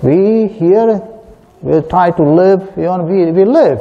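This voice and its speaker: A man speaking at a very slow pace. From southern India. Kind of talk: sermon. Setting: church. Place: church.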